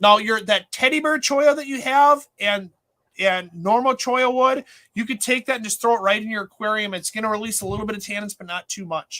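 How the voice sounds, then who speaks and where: A man with an Upper Midwest accent uses a raised, projected voice at a high pitch, fairly quick, with ordinary pitch variation and big swings in loudness. His tone is bright and sharp, and the sound is dry and close with no echo. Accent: Upper Midwest American. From Minnesota. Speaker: aquarium store owner and show host. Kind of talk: casual livestream chat. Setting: in his store.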